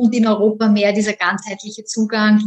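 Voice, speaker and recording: At a moderate pace, a woman with medium pitch speaks in a monotone, flat intonation. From Austria. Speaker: economics lecturer. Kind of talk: interview. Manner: hesitant, many fillers.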